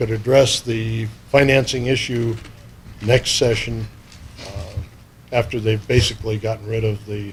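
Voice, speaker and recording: With an American accent, a man speaks at a medium pitch and a fairly slow pace, his intonation flat and monotone, broken by long, frequent pauses. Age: 60s. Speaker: wildlife commissioner. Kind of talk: public meeting remarks.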